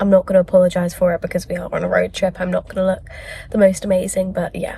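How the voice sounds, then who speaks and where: Over noticeable background noise, a woman with a British accent speaks quietly at a very fast pace. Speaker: book vlogger. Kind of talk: vlog. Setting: in a car and at a petrol station.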